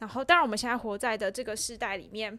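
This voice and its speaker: A woman speaks fairly quickly with a fairly high pitch, ordinary pitch variation and a bright, sharp tone. The recording is very clean, with a silent background. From Taiwan, Changhua. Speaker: theatre practitioner and podcast creator. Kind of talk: casual chat. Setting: small office. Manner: laughs often.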